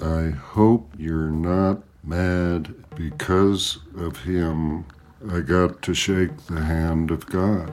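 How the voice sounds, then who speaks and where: A raspy, put-on character voice from a man, very deep and low in pitch, at a very slow pace. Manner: eerie.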